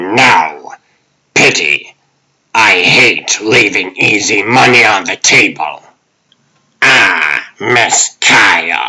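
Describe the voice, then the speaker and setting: A man in a put-on character voice speaks at a medium pitch and a very slow pace, with long, frequent pauses. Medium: dub. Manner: smug, genteel.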